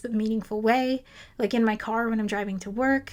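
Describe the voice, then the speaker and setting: A woman speaks in a monotone with flat intonation and fairly high pitch, on a very clean recording with a silent background. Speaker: science YouTuber, former physicist. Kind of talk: casual Q&A. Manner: conversational, improvised.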